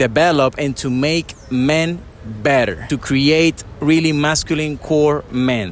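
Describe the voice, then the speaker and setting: A man speaks with a non-native accent. His voice sits fairly high. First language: not English. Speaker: dating coach. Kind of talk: interview. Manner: casual.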